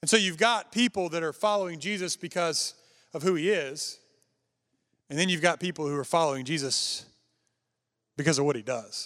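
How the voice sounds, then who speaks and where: Speaking in a high voice with ordinary pitch variation, a man leaves long, frequent pauses on a very clean recording with a silent background. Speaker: traveling preacher. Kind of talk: sermon. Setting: church with congregation. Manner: fast.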